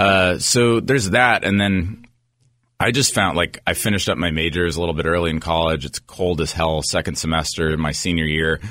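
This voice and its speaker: A man speaks at a moderate pace with a very deep, low pitch. His tone is bright and sharp, with ordinary pitch variation. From Northern California. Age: 30s. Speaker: digital media entrepreneur. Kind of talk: interview.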